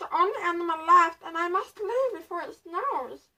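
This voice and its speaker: A woman puts on a character voice with an extremely high pitch. She keeps a moderate pace. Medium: read story.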